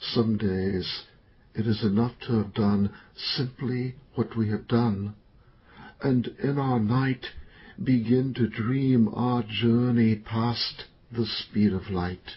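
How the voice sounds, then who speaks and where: Speaking at a very slow pace, a man with a medium-pitched, somewhat breathy voice keeps his intonation fairly even. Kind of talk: poetry reading, poem performed aloud. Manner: slow, measured, contemplative; solemn, reflective, somber.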